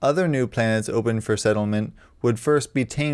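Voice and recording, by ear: Someone reads aloud naturally, with pitch that shifts in an ordinary way.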